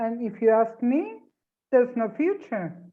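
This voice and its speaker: Fairly slow with fairly even intonation, a woman talks in an ordinary speaking voice. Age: 50s. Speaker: interviewer for a newspaper. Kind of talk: interview.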